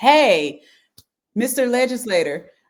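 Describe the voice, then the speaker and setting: A woman with a strong Southern accent, speaking at a fairly slow pace. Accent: thick Southern. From US South, rural Halifax County. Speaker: education professional, government affairs liaison. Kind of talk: interview.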